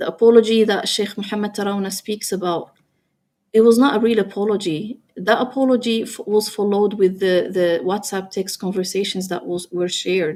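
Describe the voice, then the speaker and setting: Recorded very cleanly against a silent background, a woman with a non-native accent and a dark, mellow tone speaks at medium pitch and a moderate pace with fairly even intonation. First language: not English. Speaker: interviewee, ex-wife of a public figure. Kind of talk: personal testimony. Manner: halting.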